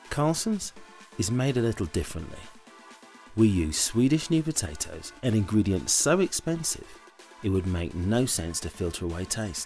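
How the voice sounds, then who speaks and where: Over music in the background, a man with a fairly low pitch talks at a moderate pace, his pitch swinging very widely. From British. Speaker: voice actor. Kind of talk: TV commercial read.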